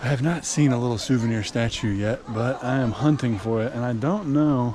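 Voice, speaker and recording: A man speaks against noticeable background noise. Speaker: travel vlogger. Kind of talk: casual vlog narration. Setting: inside a statue, echoey. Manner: casual, conversational.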